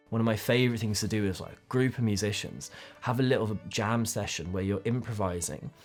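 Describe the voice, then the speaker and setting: Fairly quick speech from a man with a fairly low pitch, ordinary pitch variation and big swings in loudness, set against background music. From London, England. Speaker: playwright and sound designer. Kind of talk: documentary interview answer. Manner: exuberant.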